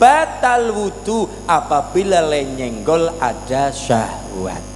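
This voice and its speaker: A man speaks in a Banyumasan accent. Music plays in the background. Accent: Banyumasan (ngapak) Javanese. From Cilacap, Central Java. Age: 20s. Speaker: Islamic preacher. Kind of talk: religious sermon. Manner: entertaining, humorous.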